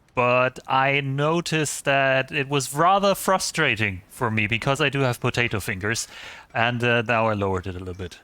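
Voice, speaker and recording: A man with a German accent speaks at a moderate pace, medium pitch and lively intonation in a bright, sharp tone, on a very clean recording with a silent background. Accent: German accent, noticeable. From eastern Germany. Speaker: gaming streamer. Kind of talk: casual live-stream chat. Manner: hesitant, many fillers.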